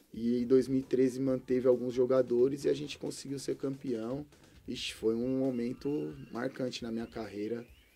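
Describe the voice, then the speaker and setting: Speaking at a moderate pace, a man has a dark, mellow tone and fairly even intonation. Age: 30s. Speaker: former professional footballer; guest. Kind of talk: interview. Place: studio. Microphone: studio mic.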